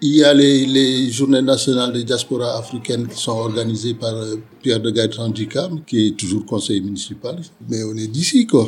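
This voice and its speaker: At a moderate pace, a man talks with medium pitch, fairly even intonation and a somewhat breathy quality. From Senegal. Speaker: sociologist. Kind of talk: interview. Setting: bar. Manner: halting, many repetitions.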